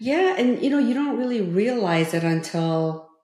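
A woman with a Korean accent speaks in a dark, mellow tone. Her pace is moderate. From South Korea (Seoul). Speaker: former state politician and author. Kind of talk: interview conversation.

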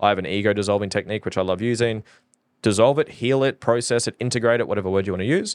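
On a very clean recording with a silent background and a dry, close sound with no echo, a man with a fairly low pitch speaks at a very fast pace with ordinary pitch variation. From Norfolk Island. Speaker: fulfillment coach. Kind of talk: podcast interview. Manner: halting.

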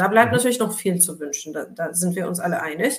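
The voice has lively intonation and audible room echo. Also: woman. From Turkey. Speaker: labour sociologist. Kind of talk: casual chat.

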